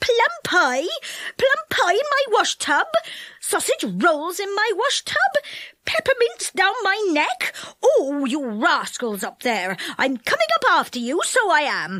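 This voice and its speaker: A woman puts on a character voice at an extremely high pitch, with very wide pitch swings. Her tone is angry and her pace fairly slow. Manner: angry, squealing.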